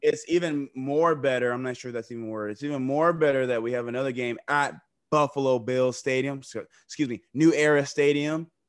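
Fairly high-pitched and fairly quick, a man speaks in a plain, everyday voice. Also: fairly even intonation. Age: 30s. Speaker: sports podcast co-host. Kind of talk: casual chat.

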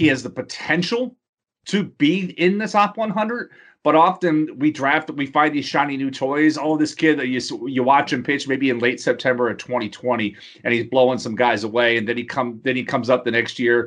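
A man with an American accent talks at a fairly quick pace, his pitch fairly high for a man and his intonation lively. The background is quiet. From Texas, Houston. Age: 40s. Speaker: fantasy baseball columnist. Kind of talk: interview. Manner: hesitant, many fillers.

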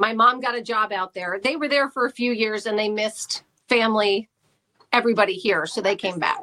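In an ordinary speaking voice, a woman with an American accent talks at a fairly quick pace and a fairly high pitch, with ordinary pitch variation. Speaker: radio host. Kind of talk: casual chat.

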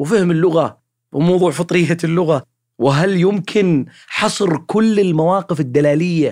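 This man's high voice moves at a fairly slow pace with lively intonation. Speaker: podcast host, linguist. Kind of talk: casual educational monologue. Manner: spontaneous, conversational.

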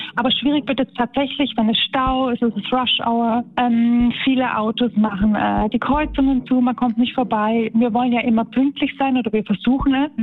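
At a moderate pace and with hardly any pauses, a woman talks in a high voice with monotone, flat intonation. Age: 30s. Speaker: tram driver. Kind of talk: interview.

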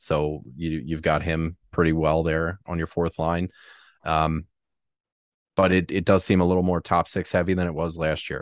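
Against a quiet background, a man speaks in a very deep, low pitch with monotone, flat intonation and a dry, close sound with no echo. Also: moderate pace. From Philadelphia area (raised), born in New Jersey. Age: 30s. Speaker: fantasy hockey podcaster. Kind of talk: casual chat.

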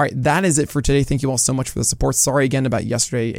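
Putting on a character voice at a very fast pace, a man sounds raspy and hoarse at a medium pitch, with fairly even intonation, very even loudness and light background noise. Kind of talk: casual sign-off.

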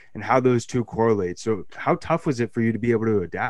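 Against a quiet background, a man with an American accent talks fairly quickly at a medium pitch. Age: 20s. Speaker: sports podcast host. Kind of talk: casual interview chat. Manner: halting, frequent repetitions.

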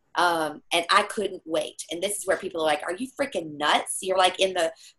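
This is a plain, everyday voice with an American accent. It moves at a moderate pace. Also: woman. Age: 50s. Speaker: metaphysical healer and speaker. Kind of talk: interview.

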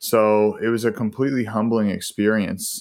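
A man with an American accent, a fairly low pitch, a normal speaking voice and fairly even intonation, on a very clean recording with a silent background. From US, Boston area. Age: 20s. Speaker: holistic lifestyle coach. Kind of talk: casual interview. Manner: relaxed, with many fillers.

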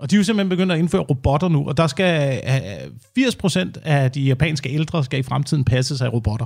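A man talks at a fairly quick pace, his pitch fairly high. His voice is somewhat breathy, with ordinary pitch variation. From Denmark, Slagelse area (Zealand). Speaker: radio host. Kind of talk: casual chat.

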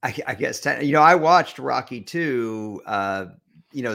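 The intonation is lively, with a bright, sharp tone. The recording is very clean, with a silent background. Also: man. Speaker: podcast host. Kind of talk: casual sports podcast banter. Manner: fast talker.

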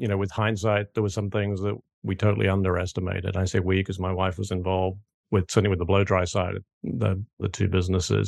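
The speaker talks at a very fast pace with a British accent and a monotone, flat intonation. The background is quiet. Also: man, very deep, low pitch for a man, dry, close sound with no echo. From United Kingdom. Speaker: franchise consultant. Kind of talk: interview.

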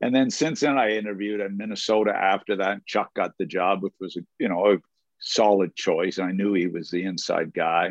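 A man with a plain, everyday voice speaks at a fairly low pitch with ordinary pitch variation. The sound is dry and close with no echo, over a quiet background. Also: fairly quick pace. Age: 60s. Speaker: former hockey coach and broadcaster. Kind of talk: casual interview.

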